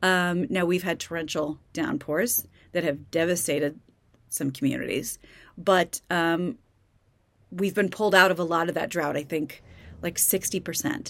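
At a moderate pace with long, frequent pauses, a woman speaks at a fairly low pitch with ordinary pitch variation on a very clean recording with a silent background. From Kansas. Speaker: podcast host. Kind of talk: casual solo commentary. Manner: conversational, with many fillers.

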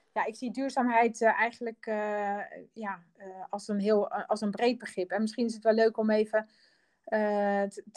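A woman speaks with a fairly high pitch. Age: 50s. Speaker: designer and company co-founder. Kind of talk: interview. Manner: halting, many fillers.

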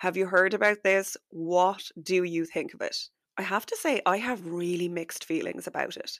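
Speaking at a moderate pace, a woman uses a medium pitch and fairly even intonation in an ordinary speaking voice. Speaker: podcast host and business coach. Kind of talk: solo podcast episode, chatty and instructional. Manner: warm, friendly, conversational.

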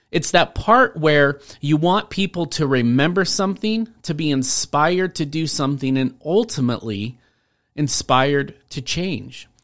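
With an unremarkable speaking voice, a man speaks at a fairly slow pace in an American accent, his pitch fairly high, on a very clean recording with a silent background. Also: lively intonation. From Washington State, US. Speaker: podcast host and speaking coach. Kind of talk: solo podcast monologue.

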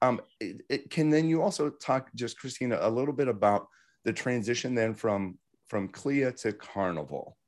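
At a medium pitch, a man speaks at a moderate pace with lively intonation, in a plain, everyday voice. The recording is very clean, with a silent background. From Pittsburgh, Pennsylvania. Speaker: podcast host, company founder. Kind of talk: interview.

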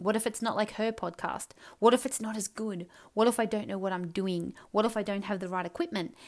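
Animated in tone, a woman speaks at medium pitch with ordinary pitch variation. The recording is very clean with a silent background. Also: fairly quick pace. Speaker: podcast host, life coach. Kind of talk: solo monologue podcast. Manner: loud.

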